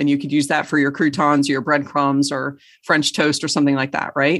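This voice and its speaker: Woman with a very deep, low pitch. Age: 40s. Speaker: integrative medicine doctor. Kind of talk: casual interview.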